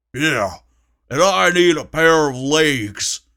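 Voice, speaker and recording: A man growls in a put-on character voice with a fairly high pitch, going at a very slow pace. The recording is very clean, with a silent background. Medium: read story.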